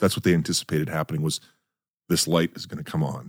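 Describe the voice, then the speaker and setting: Very fast and very deep, a man with an Upper Midwest accent speaks with vocal fry and ordinary pitch variation in a dry, close recording with no echo. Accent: Upper Midwest American. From North Dakota, US. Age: 40s. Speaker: podcast host. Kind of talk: casual interview. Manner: halting, many repetitions.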